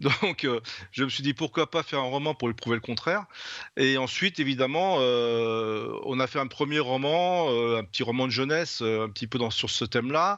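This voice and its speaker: A man at medium pitch with ordinary pitch variation and a moderate pace, over a quiet background. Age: 60s. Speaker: novelist. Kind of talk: interview. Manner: halting, many hesitations.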